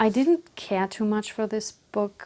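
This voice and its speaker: A woman with a non-native accent and a dark, mellow tone, at a moderate pace, in a very clean recording with a silent background. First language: not English. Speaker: book vlogger. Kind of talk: casual book review monologue. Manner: hesitant, with fillers.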